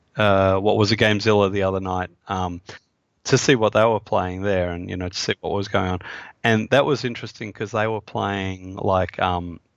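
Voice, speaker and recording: Against a quiet background, a man with an Australian accent speaks at a moderate pace with fairly low pitch and fairly even intonation. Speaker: game designer. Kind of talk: interview. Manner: halting, many fillers.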